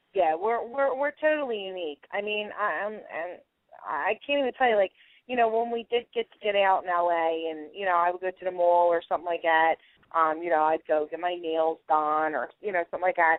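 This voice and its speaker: A woman with a Philadelphia accent speaks at a fairly quick pace in a fairly low pitch, her intonation lively and her loudness swinging widely. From South Philadelphia. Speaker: cooking show contestant. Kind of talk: radio interview.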